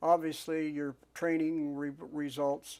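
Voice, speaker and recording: A man speaks with an American accent. His intonation stays flat and monotone. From northwestern Pennsylvania, USA. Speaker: WW2 P47 fighter pilot, war veteran. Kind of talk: oral history interview answer.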